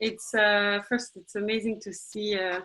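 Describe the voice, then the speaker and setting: A woman with a French accent, a fairly high pitch and a fairly slow pace. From France, Marseille. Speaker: executive director of a space youth organization. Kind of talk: webinar presentation.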